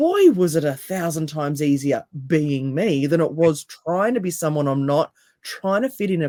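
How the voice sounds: A woman with a low, raspy voice and a dark, mellow tone speaks with lively intonation. Her pace is moderate.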